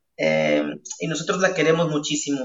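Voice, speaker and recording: A man speaks at a fairly high pitch. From Peru, La Libertad (Chicama, Trujillo). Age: 20s. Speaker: evangelist and singer-songwriter. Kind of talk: interview.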